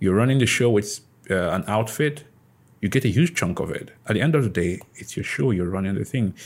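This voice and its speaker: This man has an unremarkable speaking voice pitched fairly low. His intonation is lively. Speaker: podcast host. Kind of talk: casual interview chat.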